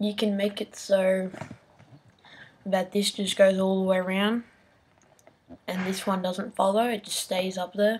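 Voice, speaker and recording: Against noticeable background noise, a woman speaks at a fairly slow pace in a medium pitch, her intonation monotone and flat, with long, frequent pauses. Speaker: video tutorial maker. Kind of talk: tutorial. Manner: pitch-altered with software; casual.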